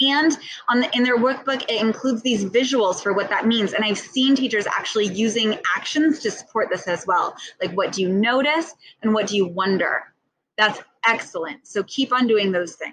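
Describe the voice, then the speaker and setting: This woman's fairly high voice moves with ordinary pitch variation. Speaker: ESL teacher trainer. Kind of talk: tutorial. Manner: fast.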